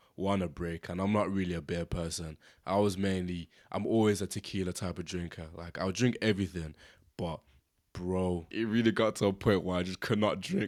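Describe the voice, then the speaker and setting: With a British accent, a man speaks at a fairly quick pace in a very deep, low pitch with fairly even intonation, in a very clean recording with a silent background. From Britain, Zimbabwean family. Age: 20s. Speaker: podcast host. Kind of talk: casual podcast monologue. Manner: casual, conversational.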